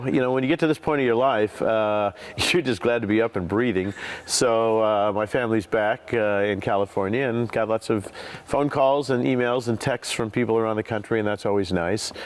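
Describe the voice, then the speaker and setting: Medium male pitch with ordinary pitch variation, a fairly quick pace and very even loudness, over noticeable background noise. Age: 60s. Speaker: TV game show host. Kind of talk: interview answer.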